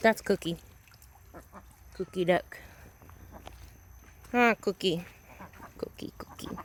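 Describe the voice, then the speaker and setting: A woman's medium-pitched voice with fairly even intonation and long, frequent pauses, dry and close with no echo. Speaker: homesteader vlogger. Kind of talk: casual vlog walkthrough. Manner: fast.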